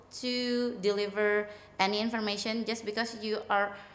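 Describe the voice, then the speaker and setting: Audible room echo surrounds a woman who speaks in an Indonesian accent with fairly even intonation. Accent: Bangka Indonesian accent in English. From Indonesia, Bangka. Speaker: English coach. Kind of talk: casual interview. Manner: hesitant, many fillers.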